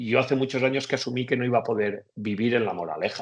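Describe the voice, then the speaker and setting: A man talks at medium pitch. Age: 40s. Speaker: economist. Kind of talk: interview. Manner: hesitant, with fillers.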